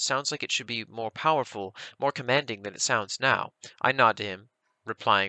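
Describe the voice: Quiet surroundings for some plain reading aloud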